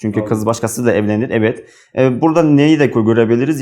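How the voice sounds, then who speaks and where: Ordinary pitch variation marks this voice, spoken with an Uzbek accent. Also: man. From Uzbekistan. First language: Uzbek (speaking Turkish). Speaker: international graduate student. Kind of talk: book talk, monologue to camera. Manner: halting, many fillers.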